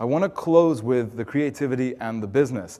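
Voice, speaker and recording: Medium-pitched and dark, mellow in tone, a man talks at a moderate pace with ordinary pitch variation. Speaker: corporate marketing speaker. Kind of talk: conference keynote. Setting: stage with audience. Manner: animated.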